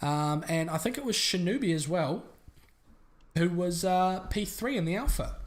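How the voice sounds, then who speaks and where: The speaker goes at a moderate pace with a New Zealand accent. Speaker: sim racing commentator. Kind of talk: live commentary.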